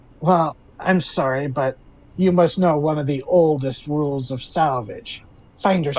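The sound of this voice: A man puts on a character voice, fairly high in pitch, at a moderate pace.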